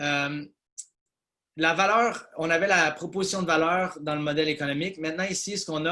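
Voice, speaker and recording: This man has a bright, sharp tone and a fairly high pitch, speaking at a moderate pace with fairly even intonation. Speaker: business consultant presenter. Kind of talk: webinar presentation. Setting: video call webinar. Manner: hesitant with many fillers.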